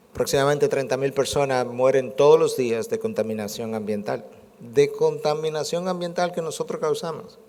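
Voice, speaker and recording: There is audible room echo around a man's fairly high voice. He speaks at a moderate pace with lively intonation. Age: 60s. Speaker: preacher. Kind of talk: sermon.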